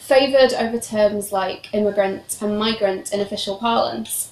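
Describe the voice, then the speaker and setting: With a British accent, a woman speaks at a moderate pace using ordinary pitch variation. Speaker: PhD researcher, historian. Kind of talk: academic seminar talk. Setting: seminar room with audience, streamed online.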